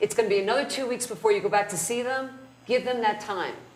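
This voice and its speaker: A woman with an American accent talks at a very fast pace in a fairly high pitch, with audible echo in the room. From New Jersey (North Jersey). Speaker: criminal defense lawyer, trainer. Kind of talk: lecture.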